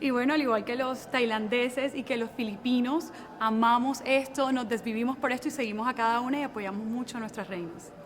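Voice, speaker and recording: Very fast talk with hardly any pauses and fairly even intonation, over noticeable background noise. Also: woman, high pitch for a woman. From Colombia. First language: Spanish. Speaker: beauty pageant contestant. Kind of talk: interview.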